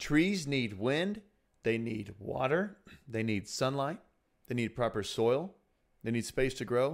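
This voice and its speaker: A man's voice with very wide pitch swings, on a very clean recording against a silent background. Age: 30s. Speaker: senior pastor. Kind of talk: casual chat.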